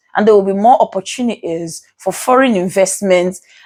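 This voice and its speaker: A woman with a Nigerian accent. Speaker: legal commentator. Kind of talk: vlog commentary. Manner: halting, stuttering.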